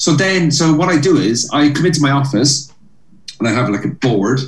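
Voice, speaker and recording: Somewhat breathy, a man with a Cork accent speaks with lively intonation. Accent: Irish (Cork). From Cork, Ireland. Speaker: stand-up comedian. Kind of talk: interview chat about comedy career. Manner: animated, storytelling.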